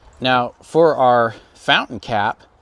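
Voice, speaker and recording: A man's medium-pitched voice with ordinary pitch variation, over noticeable background noise. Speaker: DIY repair video maker. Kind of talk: DIY tutorial. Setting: outdoors at friend's house. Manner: casual, with fillers; loud, yelling at camera.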